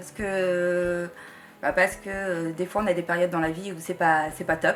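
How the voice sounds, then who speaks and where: A woman talks with fairly even intonation. Behind her, music plays. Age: 40s. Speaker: participant in community art group. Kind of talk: interview testimony. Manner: halting, many hesitations.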